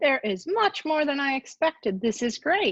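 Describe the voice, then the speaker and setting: A woman with an American accent speaks at a moderate pace. Her pitch swings very widely against a quiet background. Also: dry, close sound with no echo. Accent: sounds American. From Japan. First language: Japanese. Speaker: university ombudsperson. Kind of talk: presentation.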